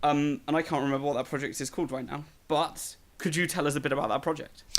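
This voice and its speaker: Someone speaks at a very fast pace. The accent is British. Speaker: podcast host. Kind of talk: casual chat.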